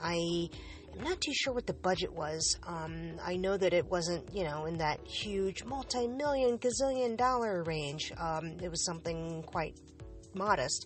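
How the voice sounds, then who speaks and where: A woman's fairly low-pitched voice at a fairly slow pace, with lively intonation over music in the background. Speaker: podcast host. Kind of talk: casual monologue. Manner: halting.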